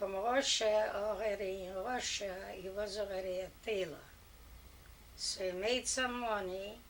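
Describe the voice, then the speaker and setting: At a fairly slow pace, a woman speaks with medium pitch and fairly even intonation, her voice carrying audible room echo. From Poland. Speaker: grandmother telling family history. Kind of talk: family oral history interview. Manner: halting.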